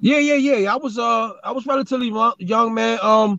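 A man with an American accent and a high pitch, ordinary pitch variation, and a dry, close sound with no echo. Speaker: rapper. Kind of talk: casual chat. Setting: video call.

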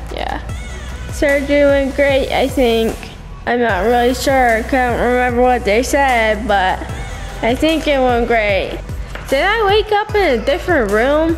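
Over clear music in the background, a woman speaks at a fairly slow pace in a high pitch. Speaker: vlogger after surgery. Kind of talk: casual vlog chat. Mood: groggy, loopy, giggly. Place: home room.

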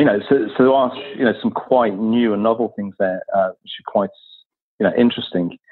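Fairly quick and fairly even in intonation, a man with a British accent talks at medium pitch, his loudness swinging widely. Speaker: science education consultant. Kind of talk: casual interview. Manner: halting.

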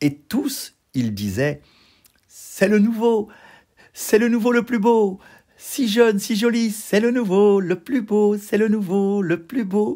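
Over a silent background on a very clean recording, a man speaks very slowly in a gentle, soothing tone. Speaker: storyteller. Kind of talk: bedtime story telling, read-aloud fairy tale. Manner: gentle, soothing, expressive storyteller's delivery.

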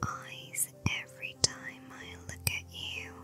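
Someone whispers at a very slow pace with music in the background. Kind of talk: ASMR flirting compliments. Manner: whispered.

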